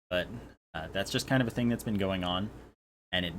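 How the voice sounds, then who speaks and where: The man's voice is very deep and low in pitch. His pitch variation is ordinary. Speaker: YouTuber. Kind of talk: casual vlog talk. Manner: louder than usual; hesitant, filler-heavy.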